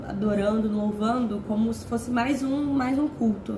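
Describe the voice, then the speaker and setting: Here a woman is talking. Noticeable background noise can be heard. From Rio de Janeiro, Brazil. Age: 20s. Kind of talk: informal sermon to camera. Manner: casual, conversational.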